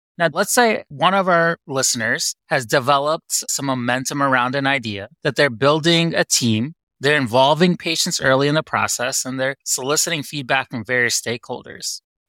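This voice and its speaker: In a very clean recording with a silent background and a dry, close sound with no echo, a man speaks at a moderate pace with a fairly high, bright and sharp voice, ordinary pitch variation and hardly any pauses. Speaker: cardiology faculty. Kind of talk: podcast interview.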